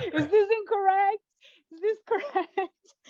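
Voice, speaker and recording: A woman is speaking. She has a Portuguese accent. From Brazil, Brasilia. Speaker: poet and fiction writer. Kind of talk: interview. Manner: hesitant, many fillers.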